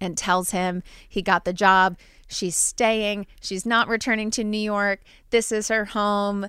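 On a very clean recording with a silent background, a woman with an American accent speaks fairly slowly at a medium pitch, her bright, sharp tone set in a monotone, flat intonation. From New Jersey. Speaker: podcast host. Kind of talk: casual chat.

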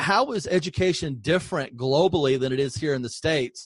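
Over a quiet background, a man talks at a fairly quick pace and a fairly high pitch, his voice somewhat breathy and his intonation lively. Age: 50s. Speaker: podcast host, former school superintendent. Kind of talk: interview podcast.

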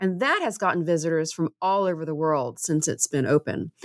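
On a very clean recording with a silent background, a woman with an American accent uses an ordinary speaking voice, fairly low in pitch with ordinary pitch variation. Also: dry, close sound with no echo. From US South, Tennessee (Waverly). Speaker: cardiologist and author. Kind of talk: interview.

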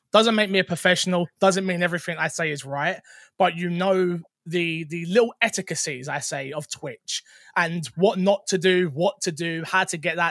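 Someone with a London accent speaks at a moderate pace. The sound is dry and close with no echo, in a very clean recording with a silent background. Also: man. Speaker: content creator and streamer. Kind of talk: casual chat. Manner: animated, joking.

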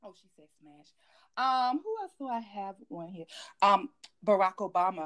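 A woman speaks at a moderate pace with a medium pitch and lively intonation. Her loudness swings widely, and she takes long, frequent pauses. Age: 40s. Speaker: podcast host. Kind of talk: casual chat.

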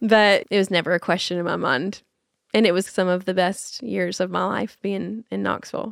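A woman talks with a Tennessee accent. The recording is very clean, with a silent background. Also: moderate pace. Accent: Southern US (Tennessee). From US South, Nashville, Tennessee. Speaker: nonprofit founder, mother. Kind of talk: casual interview chat. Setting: in person at their farm.

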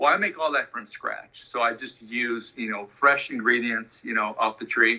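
An ordinary speaking voice from a medium-pitched man, at a moderate pace with fairly even intonation and hardly any pauses. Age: 50s. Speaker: bartender. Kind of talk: casual interview.

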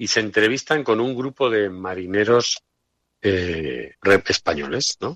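Over a quiet background, a man with a medium-pitched voice speaks at a fairly slow pace with lively intonation. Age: 50s. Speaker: historical memory activist. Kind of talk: radio interview. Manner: halting.

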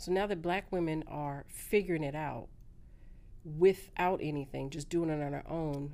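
Pitch varies in an ordinary way here. An American accent comes through. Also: woman. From California. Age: 40s. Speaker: social media influencer. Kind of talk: casual interview chat.

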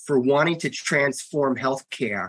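With an American accent, a man speaks at a fairly high pitch in a bright, sharp tone, the sound dry and close with no echo. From US Northeast, Long Island, New York. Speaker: health organization executive. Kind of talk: interview.

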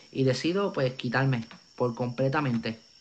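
A man with a Puerto Rican accent speaks at a fairly slow pace. His pitch is fairly high, with ordinary pitch variation. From Puerto Rico. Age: 20s. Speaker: evangelist. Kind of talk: testimony. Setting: video call.

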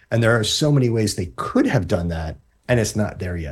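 Somewhat breathy speech at a fairly quick pace with lively intonation, on a very clean recording with a silent background. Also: man. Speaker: tech journalist. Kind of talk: casual chat.

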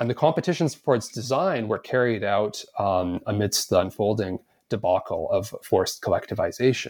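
An unremarkable speaking voice in a Canadian accent moves at a moderate pace with ordinary pitch variation, on a very clean recording with a silent background. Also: man. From Canada, Edmonton. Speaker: historian, author. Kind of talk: interview.

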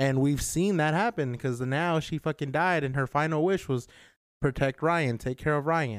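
A man's plain, everyday voice, fairly high in pitch, with ordinary pitch variation, a moderate pace, and a dry, close sound with no echo. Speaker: podcast host. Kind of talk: casual chat.

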